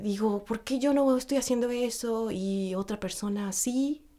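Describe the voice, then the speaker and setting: Fairly high in pitch, a woman with a Mexican accent speaks in a dark, mellow tone with fairly even intonation. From Mexico. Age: 40s. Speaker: actress and voice coach. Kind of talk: casual interview chat. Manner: hesitant, many fillers.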